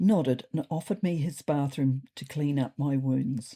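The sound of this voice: In a low pitch and a fairly slow pace, a woman speaks with a dark, mellow tone and a slightly husky edge.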